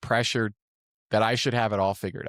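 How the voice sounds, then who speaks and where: In a very clean recording with a silent background, a man speaks in an unremarkable speaking voice at medium pitch, with fairly even intonation and a dry, close sound with no echo. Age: 30s. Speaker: podcast host. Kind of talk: casual interview chat.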